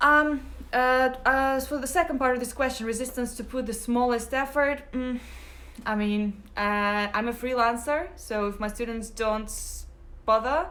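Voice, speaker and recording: A woman with a Russian accent speaks fairly slowly in a bright, sharp tone, her high pitch showing ordinary variation amid audible room echo. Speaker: English teacher. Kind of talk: live Q&A stream. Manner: hesitant, many fillers.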